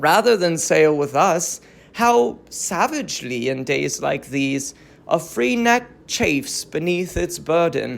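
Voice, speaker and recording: A put-on character voice sounds strained at a middle pitch. It moves at a fairly slow pace. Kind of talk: classical tragic verse. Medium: read story. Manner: formal, constrained.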